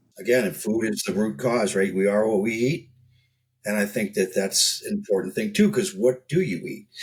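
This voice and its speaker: A man speaks in a plain, everyday voice at medium pitch, with lively intonation and a moderate pace. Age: 60s. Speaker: health business founder, guest expert. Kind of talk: casual interview chat.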